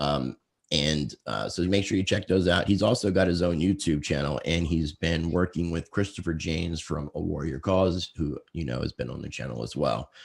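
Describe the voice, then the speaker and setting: With hardly any pauses, a man talks at a moderate pace in a very deep, low pitch marked by vocal fry. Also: ordinary pitch variation. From Virginia. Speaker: podcast host. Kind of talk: interview.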